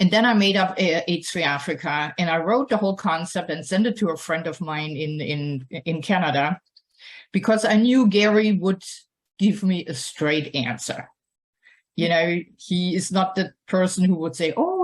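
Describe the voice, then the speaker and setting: A woman with a German accent, medium-pitched and somewhat breathy, with lively intonation at a moderate pace. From Germany. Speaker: nonprofit founder and scientist. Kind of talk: personal talk to an audience. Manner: hesitant, with many fillers.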